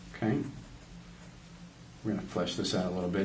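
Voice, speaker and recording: Audible room echo surrounds the recording. A man is speaking. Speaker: art tutorial presenter, creative director. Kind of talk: drawing tutorial. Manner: casual, friendly, addressing kids.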